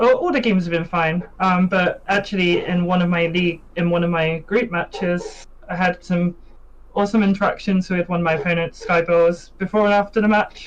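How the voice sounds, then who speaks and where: Moderate pace in a British accent. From UK. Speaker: competitive card game player. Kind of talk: pre-recorded interview.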